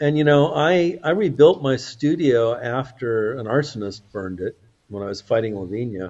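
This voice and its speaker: This man has an unremarkable speaking voice at a medium pitch. His intonation is lively. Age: 60s. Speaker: activist, institute chairman. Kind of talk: interview.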